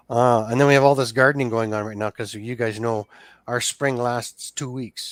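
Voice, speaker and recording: With a western Canadian accent, a man talks at a moderate pace and medium pitch. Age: 60s. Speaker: small engine repairer. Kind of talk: casual chat. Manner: animated.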